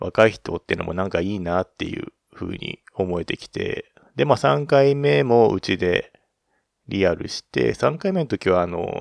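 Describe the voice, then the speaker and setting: A man's fairly low voice at a moderate pace, with very wide pitch swings and big swings in loudness, in a dry, close sound with no echo. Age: 30s. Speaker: podcast host. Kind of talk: casual monologue. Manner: halting, many fillers.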